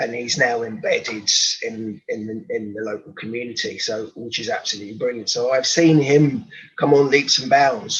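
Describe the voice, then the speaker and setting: With a London accent, a man speaks at a moderate pace. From London, England. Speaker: rugby coach and social entrepreneur. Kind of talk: interview. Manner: halting.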